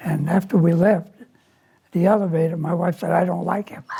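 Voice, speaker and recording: A man with an American accent speaks in a high pitch. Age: 80s+. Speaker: war veteran. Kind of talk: interview answer.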